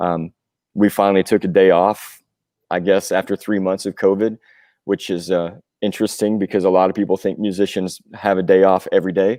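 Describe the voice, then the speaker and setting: A man speaks at a fairly quick pace with a very deep, low pitch and a dark, mellow tone, his intonation monotone and flat, in a Southern US accent, on a very clean recording with a silent background and a dry, close sound with no echo. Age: 40s. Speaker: rock musician, singer and drummer. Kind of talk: podcast interview. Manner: casual, with frequent fillers.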